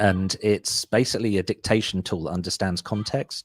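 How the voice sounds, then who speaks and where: On a very clean recording with a silent background, a man with a strong British accent is heard in a dry, close sound with no echo. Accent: thick British. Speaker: SEO agency owner. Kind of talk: interview, casual business talk. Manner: fast, with fillers and false starts.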